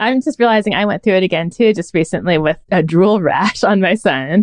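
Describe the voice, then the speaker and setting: A woman with an American accent speaks at a fairly quick pace in a plain, everyday voice, medium in pitch with ordinary pitch variation, the sound dry and close with no echo. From Northern California. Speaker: advice columnist. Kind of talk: casual chat.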